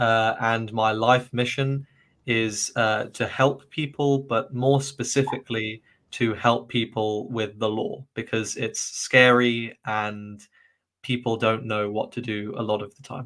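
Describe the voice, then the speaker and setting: A man with a southern English accent speaks at a fairly slow pace in a medium pitch, his intonation flat and monotone while his loudness swings widely, on a very clean recording with a silent background. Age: 20s. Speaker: university graduate, English coach. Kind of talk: casual interview. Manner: hesitant, many fillers.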